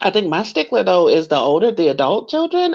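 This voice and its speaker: Here a woman speaks at medium pitch with vocal fry. Her pitch swings very widely. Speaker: dating panel guest. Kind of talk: casual chat. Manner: animated.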